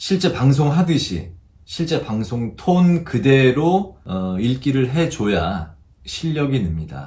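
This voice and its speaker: This man's voice is dark, mellow and somewhat breathy. His pitch swings very widely. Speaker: news announcer. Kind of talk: broadcasting tutorial talk to camera.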